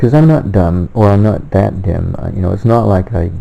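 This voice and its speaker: A man speaks at a moderate pace with a very deep, low pitch. His tone is dark and mellow. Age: 60s. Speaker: self-published author and theorist. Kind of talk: personal monologue. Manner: halting, with many fillers and self-corrections.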